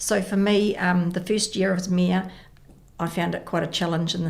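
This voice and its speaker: A woman speaks with a New Zealand accent at a fairly low pitch, with vocal fry. Her pace is moderate and her intonation fairly even, with audible room echo. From New Zealand, Porirua. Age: 60s. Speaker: mayor and election candidate. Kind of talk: radio interview.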